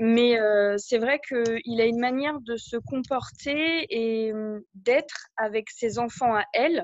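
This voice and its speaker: This is a woman's voice. Its pitch rises and falls in an ordinary way. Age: 30s. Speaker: coaching client. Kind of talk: coaching session. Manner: halting.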